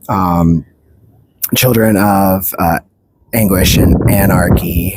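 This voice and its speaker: The speaker is soft-spoken. The sound is dry and close, with no echo. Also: man. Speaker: book reviewer. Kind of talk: casual vlog review. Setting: outdoors at the beach. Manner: halting.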